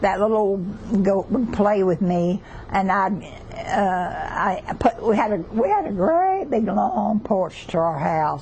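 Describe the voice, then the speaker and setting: A very slow pace with noticeable background noise. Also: woman, medium pitch for a woman, ordinary pitch variation. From southeastern Oklahoma. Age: 80s+. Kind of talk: interview answer.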